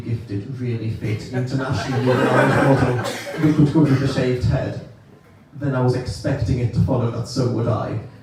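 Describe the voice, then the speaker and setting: A man speaks fairly quickly at a medium pitch. Both room echo and background noise are audible. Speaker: stand-up comedian. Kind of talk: stand-up.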